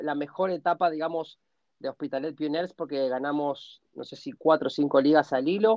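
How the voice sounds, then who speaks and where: Here is a man with a plain, everyday voice, pitched fairly high. He talks at a moderate pace with ordinary pitch variation. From Argentina. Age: 40s. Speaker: American football player and sports director. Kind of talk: interview.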